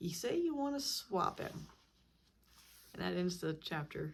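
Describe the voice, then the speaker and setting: The woman has an American accent. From Missouri Ozarks. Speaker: book vlogger. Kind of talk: reading aloud; casual commentary.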